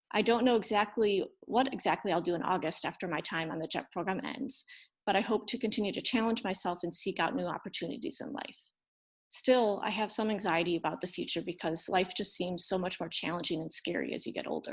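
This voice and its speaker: A woman talks in a plain, everyday voice with an American accent, at medium pitch with ordinary pitch variation and a fairly quick pace. The recording is very clean, with a silent background. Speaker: former English teacher in Japan, storyteller. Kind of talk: reading aloud. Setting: storytelling event.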